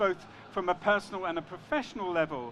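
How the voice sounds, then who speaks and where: A high-pitched man with a London accent, ordinary pitch variation and a fairly quick pace. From London, England. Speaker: panel moderator. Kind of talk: panel discussion. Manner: hesitant, with fillers and repetitions.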